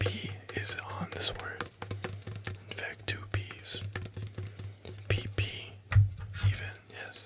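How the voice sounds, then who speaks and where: Speech comes very slowly. Long pauses break it up often. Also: man. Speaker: ASMR creator. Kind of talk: ASMR board game role play. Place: home room. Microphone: studio mic.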